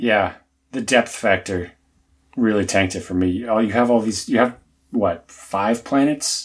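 A man with an American accent and an unremarkable speaking voice talks at a fairly slow pace with fairly even intonation, on a very clean recording with a silent background. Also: medium pitch for a man. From US South. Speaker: podcast co-host. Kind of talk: casual chat.

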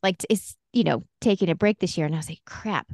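The tone is animated and playful, heard in a dry, close sound with no echo. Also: woman. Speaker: podcast host. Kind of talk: casual chat. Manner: animated, playful.

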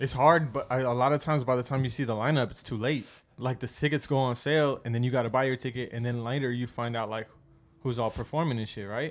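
Delivered at a very fast pace, a man's medium-pitched voice holds fairly even intonation. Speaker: podcast co-host. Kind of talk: casual chat.

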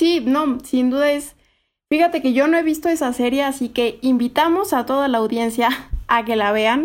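A woman's high voice at a moderate pace, with ordinary pitch variation, very even loudness, and a very clean recording against a silent background. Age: 20s. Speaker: podcast co-host, development consultant. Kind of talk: casual chat.

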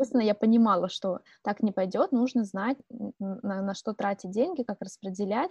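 This woman speaks at a fairly high pitch and sounds somewhat breathy, recorded dry and close with no echo. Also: ordinary pitch variation, moderate pace. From Siberia, Irkutsk region, Russia. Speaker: podcast co-host. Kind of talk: casual chat.

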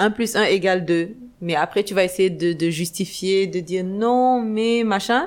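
Fairly slow speech from a woman, medium in pitch and ordinary in its variation. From Senegal, Dakar. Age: 30s. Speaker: entrepreneur and blogger. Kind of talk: interview. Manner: hesitant, many fillers.

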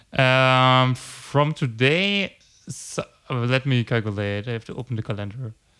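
A man with a plain, everyday voice at a fairly slow pace and ordinary pitch variation, in a very clean recording with a silent background. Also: medium pitch for a man. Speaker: podcast host. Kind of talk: casual chat.

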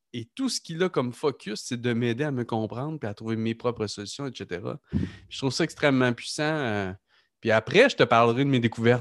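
Recorded very cleanly against a silent background, a man speaks at a fairly quick pace with ordinary pitch variation and a dry, close sound with no echo. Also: medium pitch for a man. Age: 30s. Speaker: podcast host, entrepreneur. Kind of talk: casual interview conversation.

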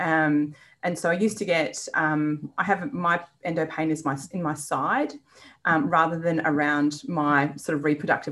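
In an Australian accent, a woman speaks at a very deep, low pitch on a very clean recording with a silent background. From Western Australia, rural. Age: 40s. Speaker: business owner and endometriosis patient. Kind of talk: interview, personal story.

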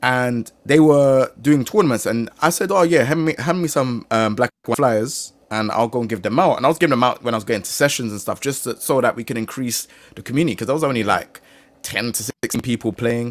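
A man in a London accent at a medium pitch and fairly quick pace, with ordinary pitch variation. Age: 30s. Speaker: gaming content creator. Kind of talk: casual chat.

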